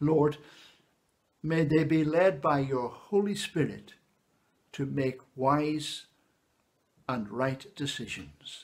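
Over a quiet background, a man talks at a very slow pace with long, frequent pauses, using a fairly high pitch and ordinary pitch variation. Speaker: church minister leading service. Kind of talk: fervent intercessory prayer, slow and solemn, with congregational responses. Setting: church service recorded for online video. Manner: earnest, pleading, measured and reverent; slow, rhythmic, pausing for the response. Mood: calm, solemn. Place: home room. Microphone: phone near.

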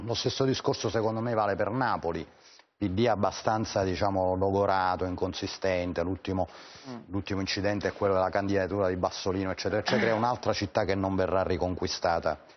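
A man with a very deep, low pitch, fairly quick pace, fairly even intonation and very even loudness. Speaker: political journalist. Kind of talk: TV political debate. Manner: halting. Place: studio. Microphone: lapel.

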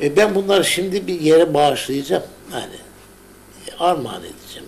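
A man talks at a fairly quick pace with a high pitch and ordinary pitch variation. His loudness swings widely over light background noise. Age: 70s. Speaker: journalist, painter and writer; journalist. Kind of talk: casual chat. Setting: at home. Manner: animated. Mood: passionate, sometimes angry. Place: home room. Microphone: old recording.

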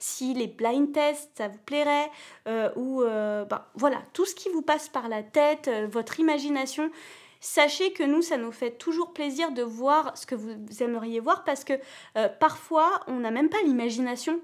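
A woman with a high pitch and a slight southern French accent talks in an animated tone with ordinary pitch variation. The background is quiet. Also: fairly slow pace, big swings in loudness. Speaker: children's channel host. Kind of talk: live-stream quiz chat. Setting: at home on a sofa. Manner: hesitant, many fillers. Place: home room.

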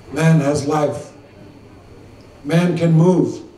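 A man talks at a very slow pace in a monotone, flat intonation. The room echo is audible, and there is light background noise. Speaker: speaker. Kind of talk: formal public address. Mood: slow, solemn, measured. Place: tent. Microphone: podium.

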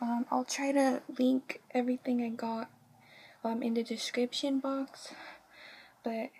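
Light background noise accompanies a woman whose high-pitched voice has a dark, mellow tone. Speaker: fashion haul vlogger. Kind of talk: casual talk to camera. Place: home room. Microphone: webcam.

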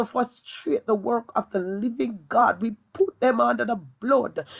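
Woman with vocal fry, fairly high pitch and a fairly slow pace. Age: young. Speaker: evangelist. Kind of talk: prayer and preaching. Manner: fervent, speaks in tongues.

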